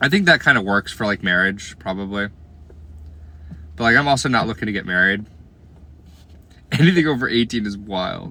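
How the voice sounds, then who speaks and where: With long, frequent pauses, a man talks in a fairly low pitch, his intonation lively and his tone bright and sharp. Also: fairly quick pace. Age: 20s. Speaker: live streamer. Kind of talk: casual chat with live chat viewers.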